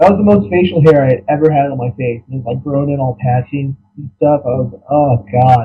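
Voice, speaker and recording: A man with an American accent talks at a fairly quick pace in a fairly high pitch. His voice is somewhat breathy and shows big swings in loudness. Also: ordinary pitch variation. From central Ohio. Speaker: military veteran and online artist. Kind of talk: casual chat.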